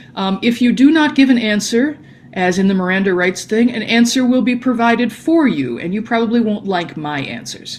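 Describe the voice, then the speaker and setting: A woman's somewhat breathy voice at a fairly quick pace, with very wide pitch swings and audible room echo. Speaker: language teacher. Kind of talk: lecture. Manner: fast.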